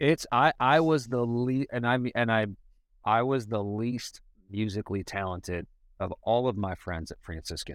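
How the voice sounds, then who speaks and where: In a very clean recording with a silent background, a man with an American accent uses an ordinary speaking voice at medium pitch, moderate pace and ordinary pitch variation. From US Midwest, Cleveland, Ohio. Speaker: hip-hop artist. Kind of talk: casual chat.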